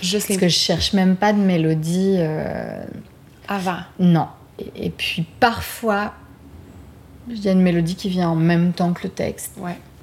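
A woman's medium-pitched, fairly even speech at a fairly slow pace with long, frequent pauses. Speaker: singer-songwriter and podcast host. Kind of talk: casual chat and songwriting session. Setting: home studio in Montreal.

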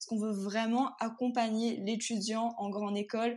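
A woman talks at a fairly slow pace in a fairly high pitch with monotone, flat intonation. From Réunion, Sainte-Suzanne (east of the island). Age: 20s. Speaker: university student. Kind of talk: interview conversation.

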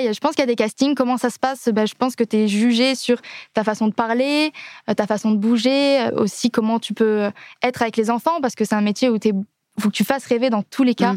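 A woman talks at a very fast pace with fairly high pitch and fairly even intonation. The sound is dry and close, with no echo. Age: 20s. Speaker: singer in a theme park musical. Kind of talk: casual interview.

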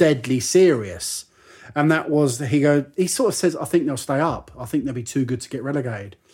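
A man with an English accent at a fairly quick pace, on a very clean recording with a silent background. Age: 30s. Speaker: football podcast co-host. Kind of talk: casual chat.

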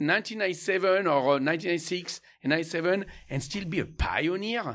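In a French accent, a man talks at a very fast pace and a high pitch with ordinary pitch variation, in a very clean recording with a silent background. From France, Champagne. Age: 50s. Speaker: winemaker. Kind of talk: casual interview. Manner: halting with repetitions.

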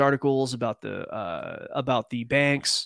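A man in an ordinary speaking voice, with fairly even intonation and a dry, close sound with no echo. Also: very clean recording, silent background. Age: 40s. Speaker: trading podcast co-host. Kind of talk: casual chat with market analysis.

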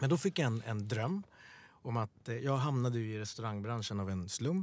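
With a plain, everyday voice, this man speaks at medium pitch and a moderate pace in a dry, close sound with no echo. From Sweden, Stockholm (Bredäng). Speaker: podcast co-host. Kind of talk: casual interview chat.

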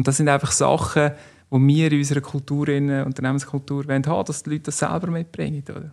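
A man in a Central Swiss accent, very fast, with monotone, flat intonation. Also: fairly high pitch for a man. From Switzerland, canton Nidwalden. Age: 40s. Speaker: business executive, former amateur footballer. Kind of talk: interview.

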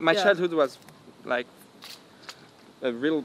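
With a strong French accent, a man speaks using ordinary pitch variation. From Normandy, France. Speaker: electronic musician being interviewed.

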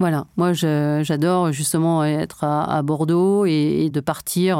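A woman with a very deep, low voice and a dark, mellow tone speaks very slowly in a flat monotone, recorded very cleanly against total silence. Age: 50s. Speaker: cybersecurity company founder, former secret agent. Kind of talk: interview.

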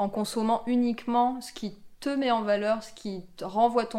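A fairly slow, fairly even-toned woman's voice. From rural France. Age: 30s. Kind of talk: interview testimony. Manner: hesitant, many fillers.

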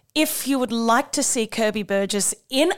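In an Australian accent, a woman with a fairly high pitch speaks at a fairly slow pace. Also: very clean recording, silent background. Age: 40s. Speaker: podcast host and performer. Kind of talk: podcast chat. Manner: animated.

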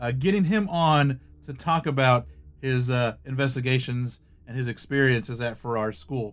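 Using an unremarkable speaking voice, a man talks at medium pitch and a moderate pace, his pitch varying in an ordinary way. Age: 30s. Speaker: paranormal podcast host. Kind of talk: casual chat; scripted narration. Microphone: close to the mic, louder than normal.

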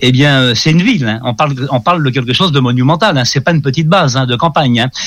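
Speaking at a very fast pace, a man keeps his loudness very even, his fairly high pitch moving with ordinary variation. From France. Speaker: ufologist. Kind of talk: interview.

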